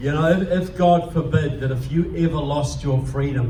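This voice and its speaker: A man's fairly high voice in a New Zealand accent at a moderate pace, with audible room echo and noticeable background noise. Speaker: political speaker. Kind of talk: speech to a club audience. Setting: live audience in a meeting room. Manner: animated.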